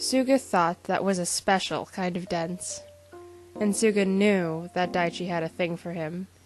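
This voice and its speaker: Over music in the background, a woman talks at a medium pitch. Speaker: podfic reader. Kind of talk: reading aloud.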